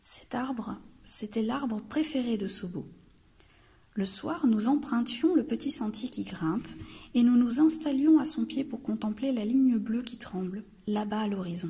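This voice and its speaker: Dark, mellow tone at a fairly slow pace with lively intonation. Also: woman, fairly high pitch for a woman. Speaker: library storyteller. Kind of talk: children's story reading.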